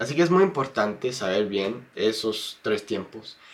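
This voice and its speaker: With an English accent, a man of medium pitch talks at a fairly slow pace, his pitch swinging very widely. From United States. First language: English (speaking Spanish). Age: 20s. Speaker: YouTuber and Spanish learner. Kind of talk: interview. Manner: halting, many fillers and repeats.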